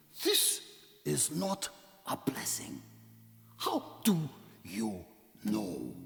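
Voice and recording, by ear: Putting on a character voice, a man speaks at a very slow pace, leaving long, frequent pauses.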